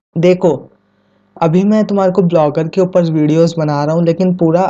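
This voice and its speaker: Fairly even intonation is heard over music in the background. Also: man. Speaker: YouTube tech tutor. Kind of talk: tutorial. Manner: casual, conversational; quieter than usual.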